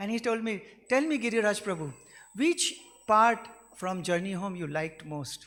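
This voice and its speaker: This man speaks with a Gujarati accent. His pace is fairly quick and his intonation lively. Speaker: devotee sharing memories. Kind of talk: tribute speech.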